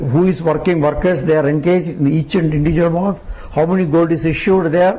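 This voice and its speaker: A man at a high pitch, very fast in pace, with very even loudness and fairly even intonation over noticeable background noise. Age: 70s. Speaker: devotee. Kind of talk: interview.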